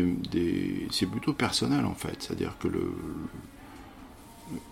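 A man talks at a very slow pace, with hardly any pauses. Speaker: theatre director and actor. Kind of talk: interview. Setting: busy public place. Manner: hesitant, with many fillers.

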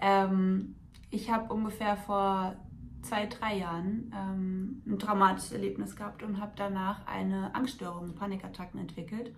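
A woman's somewhat breathy, medium-pitched voice at a moderate pace, fairly even in intonation, with audible room echo. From Hesse, near Frankfurt. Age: 20s. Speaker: coaching client and student. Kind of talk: testimony.

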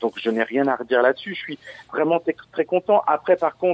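Fairly quick delivery in an ordinary speaking voice, with ordinary pitch variation. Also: man. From Lorraine, France (Verdun). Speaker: DJ and remixer. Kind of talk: casual interview. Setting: phone call.

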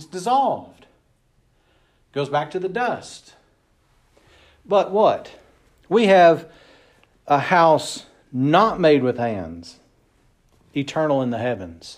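In audible room echo, a man at a fairly high pitch talks at a very slow pace with long, frequent pauses, very wide pitch swings and big swings in loudness. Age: 40s. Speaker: pastor. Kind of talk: sermon. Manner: casual, conversational with fillers.

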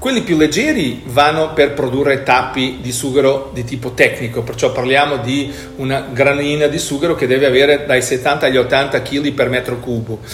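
A man speaks at a medium tempo in a fairly high register, his intonation fairly level, with clear background noise behind him. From Portugal, Lisbon. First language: Portuguese (speaking Italian). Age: 50s. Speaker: company executive. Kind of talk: interview.

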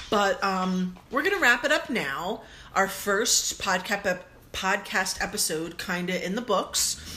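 Someone with an American accent talks at a very slow pace, the intonation lively. Background noise is noticeable. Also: woman, medium pitch for a woman. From US. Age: 40s. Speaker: podcast co-host. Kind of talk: casual chat.

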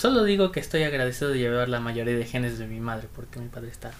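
Her pitch very deep and low, a woman talks at a very fast pace with lively intonation. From Acapulco, Mexico. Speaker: guest. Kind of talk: casual chat.

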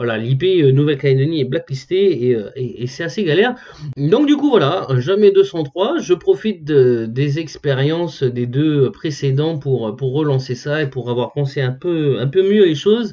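Noticeable background noise sits behind a man with a fairly high pitch. He talks at a fairly slow pace with lively intonation. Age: 30s. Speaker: podcaster and blogger. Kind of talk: solo podcast monologue. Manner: casual, hesitant with fillers.

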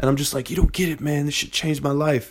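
With an American accent and a plain, everyday voice, a man talks at medium pitch and a fairly quick pace in a very clean recording with a silent background. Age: 20s. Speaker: podcast host. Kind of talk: casual monologue.

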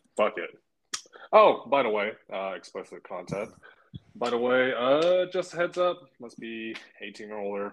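With an American accent, a man talks at a fairly slow pace, leaving long, frequent pauses. His pitch swings very widely and his loudness varies a lot. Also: medium pitch for a man. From Northern California. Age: 20s. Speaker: podcast co-host, jailer. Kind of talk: casual chat while drinking beer.

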